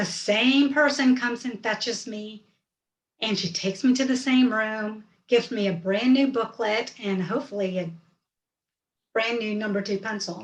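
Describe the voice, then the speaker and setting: Moving at a moderate pace, the speech comes across as somewhat breathy. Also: woman, fairly high pitch for a woman, ordinary pitch variation. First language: Hindi. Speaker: storyteller. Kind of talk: personal storytelling.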